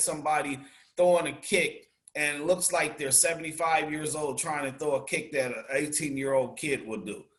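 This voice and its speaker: An unremarkable speaking voice from a man, fairly high in pitch, at a moderate pace. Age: 50s. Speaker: martial artist and action film actor. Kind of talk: interview.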